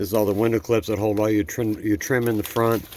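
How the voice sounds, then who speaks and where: Mumbling at a fairly low pitch, a man is heard over noticeable background noise. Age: old. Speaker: car restoration vlogger. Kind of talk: casual DIY vlog. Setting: outdoors.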